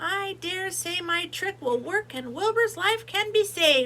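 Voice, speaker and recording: Using a put-on character voice, a woman sounds squeaky at an extremely high pitch, speaking at a fairly slow pace over light background noise. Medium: read story.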